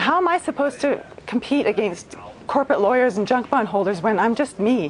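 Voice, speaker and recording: Over noticeable background noise, a woman speaks at a high pitch and fairly quick pace with lively intonation. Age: 40s. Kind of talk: TV interview.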